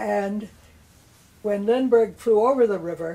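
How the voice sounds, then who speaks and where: Dark, mellow tone with ordinary pitch variation, in an American accent. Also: woman. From northern China, later Washington DC. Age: 90s. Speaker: eyewitness to history. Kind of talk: oral history interview.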